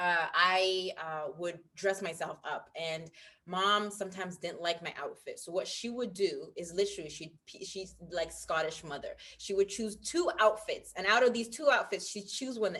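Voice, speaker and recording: Bright and sharp in tone, a woman speaks at medium pitch with ordinary pitch variation. Her loudness swings widely at a moderate pace. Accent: American. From international, expat child; born UK. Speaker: stylist. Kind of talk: interview.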